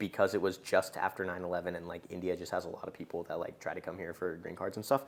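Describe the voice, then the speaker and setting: A man with a very deep, low pitch and a General American accent, at a very fast pace with hardly any pauses, fairly even intonation and noticeable background noise. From US, moved from Japan at six. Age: 20s. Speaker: podcast host, ex-investment banker. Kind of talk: casual chat.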